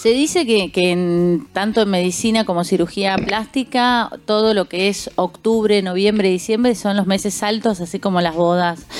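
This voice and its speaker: Over noticeable background noise, a woman speaks at a medium pitch and a fairly slow pace, with very even loudness and ordinary pitch variation. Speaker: radio host and sommelier. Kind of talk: radio talk show. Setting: radio studio.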